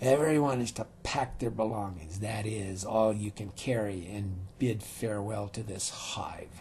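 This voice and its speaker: Over clear background noise, a man uses a put-on character voice at a fairly low pitch, keeping a moderate pace with hardly any pauses. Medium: read story. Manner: sneering, menacing, coarse.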